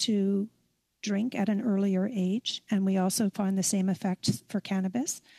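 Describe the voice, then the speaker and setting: A woman's somewhat breathy voice has a dark, mellow tone and moves at a fairly slow pace over a quiet background. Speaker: witness. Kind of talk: testimony answer. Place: home room. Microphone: headset.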